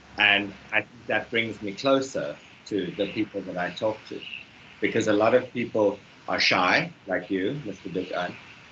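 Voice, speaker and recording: Against noticeable background noise, a man speaks at a moderate pace in a fairly low pitch with ordinary pitch variation. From South Africa. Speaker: English teacher. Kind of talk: online English lesson. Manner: animated.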